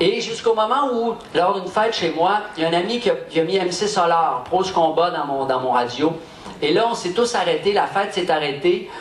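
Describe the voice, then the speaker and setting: With lively intonation and a high pitch, a man speaks amid noticeable background noise and audible room echo. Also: moderate pace. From Quebec. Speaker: rapper, event host. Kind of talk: stage address. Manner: hesitant, with fillers.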